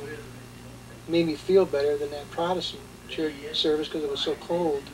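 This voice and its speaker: Against noticeable background noise, the talking keeps a moderate pace. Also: man. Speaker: war veteran. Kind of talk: testimony. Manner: halting.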